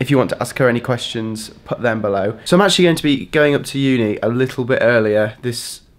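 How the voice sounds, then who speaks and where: His pitch varies in an ordinary way. The man speaks at a very fast pace. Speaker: student vlogger. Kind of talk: casual vlog chat. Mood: upbeat, chatty.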